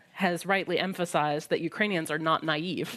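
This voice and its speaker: This woman talks at a moderate pace. She has an American accent. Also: very clean recording, silent background. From US Midwest. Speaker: historian. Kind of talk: prepared talk at a panel discussion. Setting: library event with live audience.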